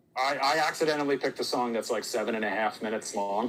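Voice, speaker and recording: With a Philadelphia accent, a man talks very fast at a medium pitch and with fairly even intonation. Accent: Delco (Philadelphia-area). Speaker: TV talk show host. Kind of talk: live TV news chat; news reading.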